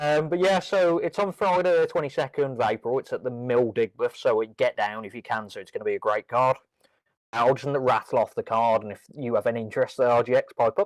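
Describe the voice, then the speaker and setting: A man with a Brummie accent speaks at a fairly quick pace. The sound is dry and close with no echo, and the background is quiet. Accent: Birmingham (Brummie). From Birmingham, England. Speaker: wrestling podcast co-host. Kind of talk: casual chat. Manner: hesitant, many ums.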